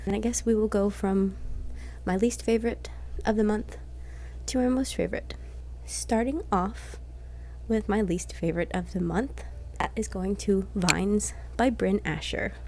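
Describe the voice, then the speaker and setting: A soft-spoken woman at a moderate pace, with long, frequent pauses. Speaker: book reviewer. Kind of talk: casual book review vlog.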